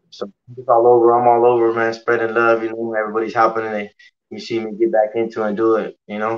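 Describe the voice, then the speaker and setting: A man speaks at a very fast pace in a flat, monotone delivery, his loudness swinging widely. Music plays in the background. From Colorado (Pueblo). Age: 30s. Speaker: professional boxer. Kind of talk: casual interview. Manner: halting. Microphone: video call.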